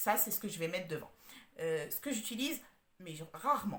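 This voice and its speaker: With lively intonation and a fairly quick pace, a woman talks amid audible room echo. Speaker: home organizer. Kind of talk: tutorial. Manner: halting, many hesitations.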